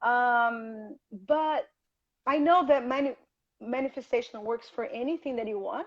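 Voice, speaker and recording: A woman speaks with high pitch and ordinary pitch variation. Her pace is fairly slow, with long, frequent pauses. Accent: Portuguese. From Rio de Janeiro, Brazil. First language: Portuguese. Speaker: health coach. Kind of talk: interview on a livestream. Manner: halting.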